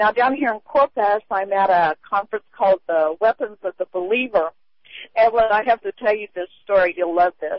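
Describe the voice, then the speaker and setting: In an ordinary speaking voice, a woman talks at medium pitch and a moderate pace with ordinary pitch variation. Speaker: caller. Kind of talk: radio call-in chat. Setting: phone call.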